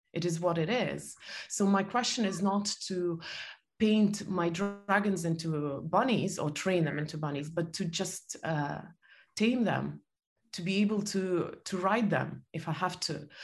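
A woman talks at a fairly slow pace and medium pitch. Her voice is somewhat breathy, with ordinary pitch variation. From Soviet Union. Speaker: author and entrepreneur. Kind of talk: interview conversation.

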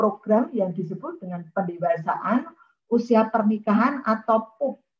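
A woman with a fairly high, somewhat breathy voice speaks with lively intonation. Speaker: university lecturer in counseling. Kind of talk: online seminar talk. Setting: video call.

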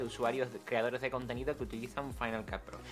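Noticeable background noise runs through the clip. Over it, a man talks very fast. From Andalusia, San Fernando (Cádiz). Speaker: content creator. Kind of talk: casual interview chat.

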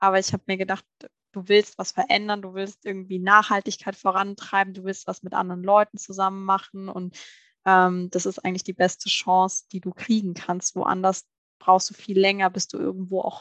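The woman's delivery is monotone and flat, at a moderate pace and medium pitch, with big swings in loudness. The sound is dry and close with no echo. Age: 30s. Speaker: managing director of family food company. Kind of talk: interview. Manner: hesitant, many filler sounds.

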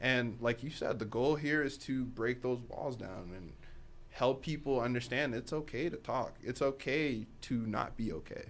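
His is an ordinary speaking voice, pitched in the middle range for a man. The pace is moderate and the pitch varies in an ordinary way. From Boston, US, born in Africa. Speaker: podcast co-host. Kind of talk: casual chat.

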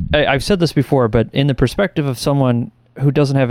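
A man with an unremarkable speaking voice at a fairly quick pace, ordinary pitch variation, and a very clean recording against a silent background. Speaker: podcast co-host. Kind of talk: casual chat.

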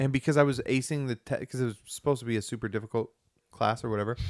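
A man with a normal speaking voice talks at a medium pitch with fairly even intonation, the sound dry and close with no echo. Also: very clean recording, silent background. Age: 40s. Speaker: podcast co-host. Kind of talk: casual chat.

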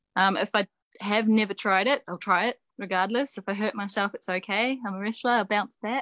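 The voice has a New Zealand accent, a bright, sharp tone and fairly even intonation at a fairly quick pace. The background is quiet, and the sound is dry and close with no echo. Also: woman, medium pitch for a woman. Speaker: professional wrestler and coach. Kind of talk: casual interview. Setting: video call.

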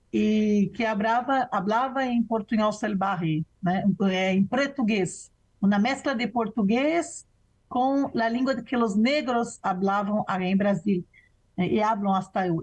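A woman speaks very slowly at a fairly high pitch, somewhat breathy, with ordinary pitch variation and very even loudness. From Brazil. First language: Portuguese (speaking Spanish). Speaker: professor and researcher. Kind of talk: interview conversation.

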